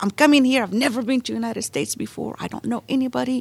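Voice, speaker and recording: The woman's pitch is high. She talks at a fairly quick pace. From Morocco. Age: 40s. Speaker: translation business owner. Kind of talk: interview.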